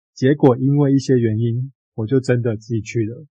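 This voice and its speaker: Dark, mellow tone, somewhat breathy, at a moderate pace with ordinary pitch variation. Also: man. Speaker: book podcast co-host. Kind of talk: casual book discussion.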